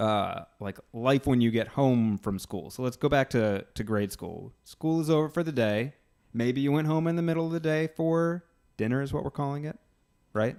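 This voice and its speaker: At a moderate pace, a man talks in an ordinary speaking voice, fairly high in pitch with ordinary pitch variation. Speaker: podcast host. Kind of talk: interview questions, casual conversation.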